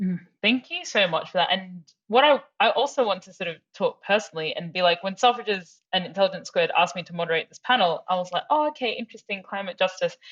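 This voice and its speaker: Speaking at a very fast pace, a woman makes big swings in loudness with ordinary pitch variation. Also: medium pitch for a woman. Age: 20s. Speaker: panel moderator. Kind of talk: panel discussion. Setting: webinar video call.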